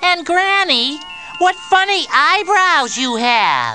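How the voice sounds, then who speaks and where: A cartoonish character voice crawls along at a very slow pace over clear background noise. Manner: friendly, innocent.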